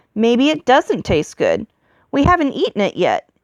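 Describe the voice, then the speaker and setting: The voice is a put-on character act. Its speed sits in the middle range. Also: woman, high pitch for a woman. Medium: read story. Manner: blunt, contemptuous.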